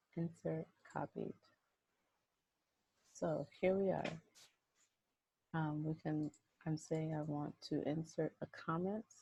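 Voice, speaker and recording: A woman whispers quietly and somewhat breathily at a very slow pace, with long, frequent pauses, in a dry, close sound with no echo. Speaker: statistics instructor. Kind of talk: screen-recorded software tutorial. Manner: whispered, quiet.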